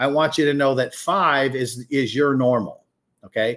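A man speaks at medium pitch and a moderate pace on a very clean recording with a silent background. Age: 60s. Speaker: pastor and podcast host. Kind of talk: sermon. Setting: livestream teaching. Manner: emphatic, repeats key points.

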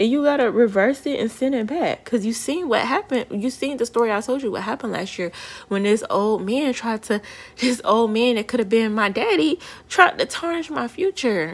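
A woman talks with lively intonation at a high pitch. Her pace is fairly quick. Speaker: podcast host, spiritual practitioner. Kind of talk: casual solo podcast monologue.

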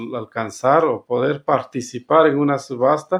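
Fairly high for a man, this voice moves at a fairly slow pace. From Guatemala, Sacatepéquez. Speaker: community radio founder, farmer. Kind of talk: interview testimony.

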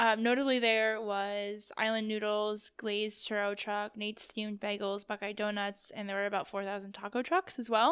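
Speaking with an American accent, a woman with a fairly high voice talks at a moderate pace in a monotone, flat intonation with hardly any pauses. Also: very clean recording, silent background. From US East Coast. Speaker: podcast co-host. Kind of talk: casual chat. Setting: sitting at a table.

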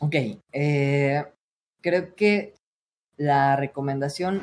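A man speaks with a fairly high pitch. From Mexico, State of Mexico. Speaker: streamer and voice coach. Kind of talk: casual interview.

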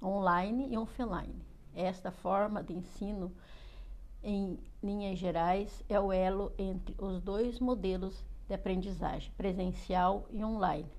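Fairly slow speech from a woman, carrying audible room echo. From Paraná, Brazil. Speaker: student teacher giving course presentation. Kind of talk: reading aloud. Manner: halting.

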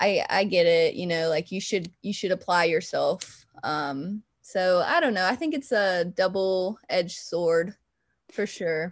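A plain, everyday voice moves at a fairly slow pace with lively intonation over a quiet background. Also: woman. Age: 20s. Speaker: recent college graduate, executive assistant. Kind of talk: casual interview chat.

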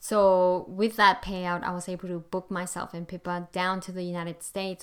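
The speaker has a non-native accent and a moderate pace, captured in a very clean recording with a silent background. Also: woman. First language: not English. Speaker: podcast host, home education coach. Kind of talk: solo podcast monologue.

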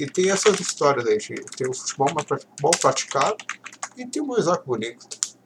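A man's high-pitched voice at a moderate pace, with very wide pitch swings, big shifts in loudness, and noticeable background noise. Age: 20s. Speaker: football podcast host. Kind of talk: solo casual commentary reading tweets. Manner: halting.

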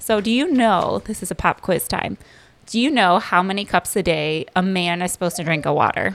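Speaking at a fairly quick pace with an American accent, a woman uses a medium pitch and vocal fry. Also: ordinary pitch variation, very clean recording, silent background. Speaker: segment contributor, mother. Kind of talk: casual chat.

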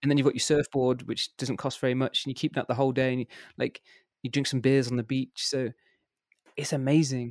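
A man speaks at a medium pitch with a West Midlands accent, his intonation flat and monotone. He talks very fast but leaves long, frequent pauses, in a dry, close sound with no echo. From England, Worcester. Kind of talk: casual interview.

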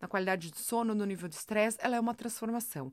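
In a very clean recording with a silent background, a woman speaks at medium pitch. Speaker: podcast host, self-help coach. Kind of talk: motivational monologue. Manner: animated.

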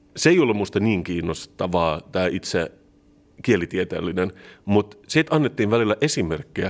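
A man speaks in an unremarkable speaking voice at a fairly low pitch and moderate pace. His intonation is lively, on a very clean recording with a silent background. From Turku, southwest Finland. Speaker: podcast co-host. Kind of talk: casual chat.

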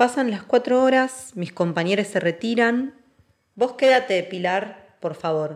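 A woman talks at a very slow pace with a Rioplatense accent. Her medium-pitched voice has lively intonation. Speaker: actress and dancer. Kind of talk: scripted narration.

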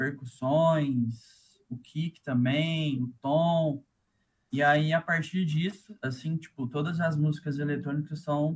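A man is speaking. His pitch sits fairly high. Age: 20s. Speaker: electronic music producer and DJ. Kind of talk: casual interview.

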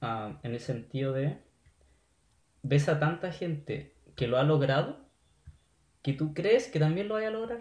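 Speaking at a fairly slow pace with a Chilean accent, a man with a fairly high, somewhat breathy voice makes very wide pitch swings and leaves long, frequent pauses. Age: 20s. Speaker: software developer. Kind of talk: casual chat.

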